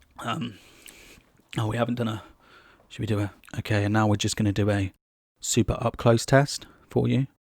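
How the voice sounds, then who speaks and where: A man with a British accent talks at a fairly quick pace, with a fairly low pitch, vocal fry and fairly even intonation. He leaves long, frequent pauses, and the recording is very clean with a silent background. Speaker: tech reviewer. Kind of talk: product review and mic test. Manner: casual, rambling. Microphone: condenser USB mic under test, up close.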